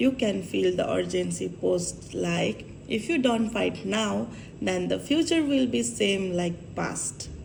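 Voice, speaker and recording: A woman speaks at a very slow pace, with audible room echo and noticeable background noise. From Nepal. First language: Nepali. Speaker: vlogger. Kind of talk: vlog monologue.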